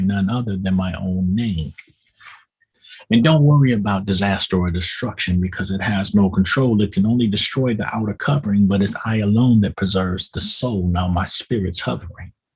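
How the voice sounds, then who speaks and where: A somewhat breathy man with a fairly low pitch talks at a moderate pace with ordinary pitch variation. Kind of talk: spoken-word poetry, preaching delivery. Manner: preaching cadence, rhythmic poetic delivery.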